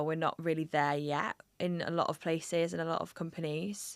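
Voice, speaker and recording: A woman with a northeast English accent, her pitch very deep and low, her intonation monotone and flat, on a very clean recording with a silent background. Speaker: podcast host. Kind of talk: casual interview conversation.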